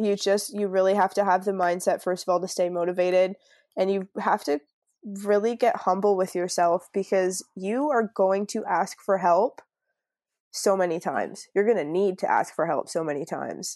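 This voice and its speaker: A woman with a Canadian accent has a normal speaking voice, a medium pitch and ordinary pitch variation, at a moderate pace. The sound is dry and close with no echo, over a quiet background. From Canada, Niagara Falls (Ontario). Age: 20s. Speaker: travel entrepreneur, digital nomad. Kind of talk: casual interview chat.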